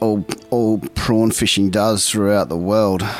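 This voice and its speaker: Noticeable background noise sits behind a man with an Australian accent. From South Australia, Port Lincoln. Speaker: fisherman. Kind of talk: interview. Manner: halting.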